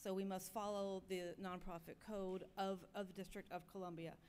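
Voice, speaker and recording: This woman has an ordinary speaking voice. Her pitch is medium and her pace moderate. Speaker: governance committee chair. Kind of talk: committee report at business meeting. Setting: podium at conference.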